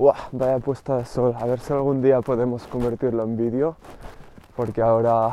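Over noticeable background noise, a man speaks at a fairly slow pace in a medium pitch with monotone, flat intonation. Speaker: podcast host and rapper. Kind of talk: solo podcast monologue. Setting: outdoors, walking.

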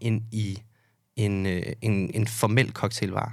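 On a very clean recording with a silent background, this man's voice sits at a medium pitch. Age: 20s. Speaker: bartender. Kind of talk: casual chat. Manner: hesitant, many fillers.

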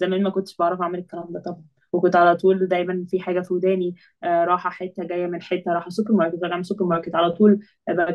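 The speech comes at a very fast pace with hardly any pauses and a monotone, flat intonation. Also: woman, fairly low pitch for a woman. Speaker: engineering master's student. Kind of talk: casual podcast conversation.

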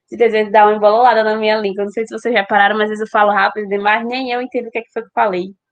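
A woman rushes along at a very fast pace with hardly any pauses, her fairly high voice showing big swings in loudness. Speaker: podcast host. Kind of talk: casual chat. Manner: animated.

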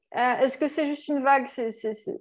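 A woman speaking at a high pitch. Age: 40s. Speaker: entrepreneur and digital marketing consultant. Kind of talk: interview. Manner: hesitant, many fillers.

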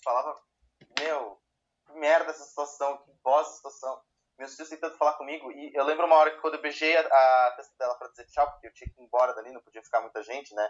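The delivery comes at a very fast pace with fairly even intonation. Loudness swings widely throughout. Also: man, fairly high pitch for a man. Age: 20s. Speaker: podcast co-host. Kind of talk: casual chat.

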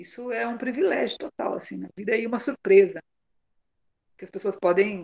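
A woman at a medium pitch and moderate pace, with ordinary pitch variation and long, frequent pauses. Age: 50s. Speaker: mother sharing her story. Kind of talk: casual interview conversation.

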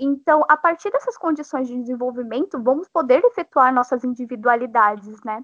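A woman speaks in a high voice with hardly any pauses. The sound is dry and close with no echo over a quiet background. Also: ordinary pitch variation, moderate pace. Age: 20s. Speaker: law graduate and activist podcaster. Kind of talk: casual political discussion.

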